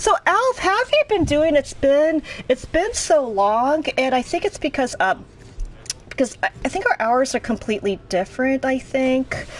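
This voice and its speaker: A woman's high-pitched voice with very wide pitch swings at a moderate pace, over noticeable background noise. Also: very even loudness. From US Northeast (Boston, Northern Virginia, Philadelphia). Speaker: video game streamer. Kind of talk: casual live-stream commentary. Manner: conversational, with hesitations.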